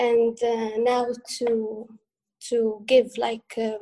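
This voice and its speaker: A woman speaks with a high pitch. Her tone is dark and mellow. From Western Sahara. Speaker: feminist activist. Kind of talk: panel interview.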